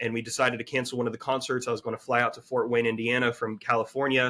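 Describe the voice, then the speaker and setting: A man talks at a very fast pace in a Southern US accent. His pitch sits in the medium range. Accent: Southern US, country. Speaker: brand consultant. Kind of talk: podcast interview. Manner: conversational.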